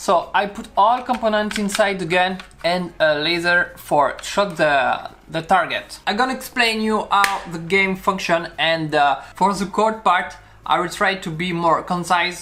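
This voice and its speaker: With a French accent, a man speaks in a high, raised, projected voice at a fairly slow pace and with ordinary pitch variation. Noticeable noise sits in the background. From France. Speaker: maker and video creator. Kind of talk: tutorial. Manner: halting.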